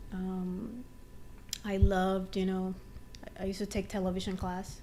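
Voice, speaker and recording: Audible room echo surrounds a woman with a Dominican accent. She talks at a moderate pace with monotone, flat intonation. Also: medium pitch for a woman. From Dominican Republic. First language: Spanish. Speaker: TV writer. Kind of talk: interview.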